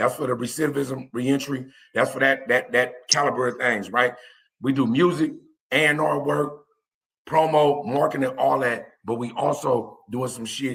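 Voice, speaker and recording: A man at medium pitch and moderate pace. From East Oakland, California. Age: 40s. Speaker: former prisoner, music promoter. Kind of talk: casual interview. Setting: live stream.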